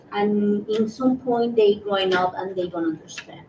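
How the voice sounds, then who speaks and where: A woman speaks at a moderate pace with fairly high pitch and ordinary pitch variation. Noticeable background noise is present. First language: Spanish. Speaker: community member, panelist. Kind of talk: panel discussion. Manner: halting.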